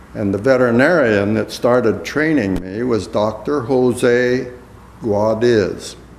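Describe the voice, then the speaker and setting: Amid noticeable background noise and audible room echo, a man with an American accent talks at a very slow pace with ordinary pitch variation. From US Midwest, Iowa. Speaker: war veteran. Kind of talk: oral history interview. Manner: halting.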